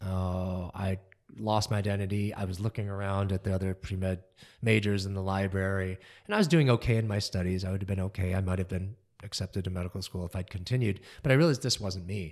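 On a very clean recording with a silent background, a man with an American accent talks at a very fast pace in a fairly low pitch. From US Midwest, Kalamazoo, Michigan. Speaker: concert pianist. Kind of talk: interview. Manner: animated.

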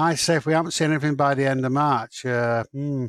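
A man's medium-pitched voice with a British accent, fairly quick and monotone in flat intonation, in a dry, close sound with no echo. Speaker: podcast co-host. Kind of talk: casual chat.

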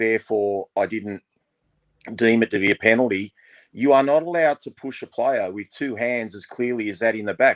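Ordinary pitch variation in an Australian accent, with a dry, close sound and no echo. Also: man. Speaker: podcast co-host, Wests Tigers fan. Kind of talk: casual chat.

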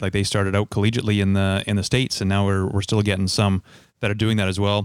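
In a Canadian accent, the speech runs very fast in a monotone, flat intonation. The sound is dry and close, with no echo. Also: man. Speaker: podcast host. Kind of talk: casual interview.

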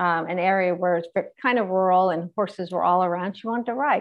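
At a fairly quick pace, an ordinary speaking voice carries fairly even intonation. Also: woman. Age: 50s. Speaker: motivational speaker and author. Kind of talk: casual interview.

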